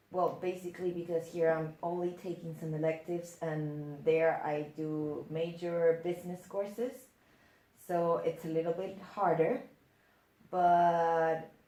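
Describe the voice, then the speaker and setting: A woman's fairly low voice, very slow and fairly even in intonation, with long, frequent pauses and audible room echo. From Netherlands. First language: Dutch. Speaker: exchange student. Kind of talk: interview.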